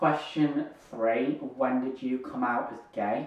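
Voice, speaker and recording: A northern English accent with monotone, flat intonation, audible room echo and noticeable background noise. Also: man. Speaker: YouTuber, hearing aid wearer. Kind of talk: casual Q&A vlog.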